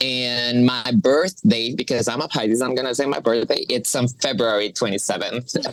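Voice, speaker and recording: Ordinary pitch variation at a moderate pace, set against noticeable background noise. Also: woman, very deep, low pitch for a woman, hardly any pauses. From Colombia, Pereira. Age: 20s. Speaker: coffee professional. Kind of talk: casual chat. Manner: halting.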